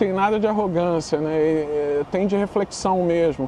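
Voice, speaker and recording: A man with a northeastern Brazilian accent, moderate pace, ordinary pitch variation and noticeable background noise. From Brazil, Northeast. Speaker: literature teacher. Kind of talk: podcast interview. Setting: studio, on camera. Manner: casual, animated.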